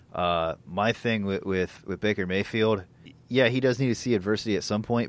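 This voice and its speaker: Here a man uses a normal speaking voice, fairly low in pitch, with ordinary pitch variation. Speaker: sports podcast host. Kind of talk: casual sports banter. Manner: filler-heavy, conversational.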